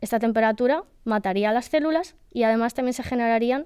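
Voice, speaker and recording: Against a quiet background, a woman with a dark, mellow tone and a fairly high pitch talks at a moderate pace. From Spain, Valencian Community (Benidorm). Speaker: PhD student in nanoscience. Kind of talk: casual interview. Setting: studio. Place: hall. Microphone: studio mic.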